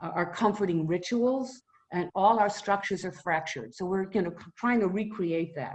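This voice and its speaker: At a moderate pace, a woman with a Boston accent speaks with ordinary pitch variation. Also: medium pitch for a woman. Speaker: retired mental health professional. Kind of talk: informal talk to a community group.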